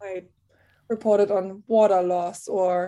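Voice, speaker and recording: The recording is very clean and its background silent. A woman's voice sits at a medium pitch with a dark, mellow tone. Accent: German. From Germany. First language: German. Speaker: TV reporter. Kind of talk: interview.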